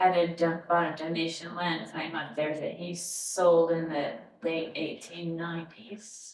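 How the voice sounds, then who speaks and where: A plain, everyday voice from a woman, fairly low in pitch, fairly slow, with fairly even intonation. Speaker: family history interviewer. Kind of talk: interview questions.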